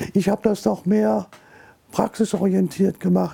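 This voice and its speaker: A man talks over noticeable background noise. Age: 80s+. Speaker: retired journalist and newspaper editor. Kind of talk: interview testimony.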